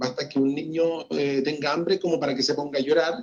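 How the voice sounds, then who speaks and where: A man's voice with lively intonation. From Chile. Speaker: journalist and radio broadcaster. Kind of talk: interview answer.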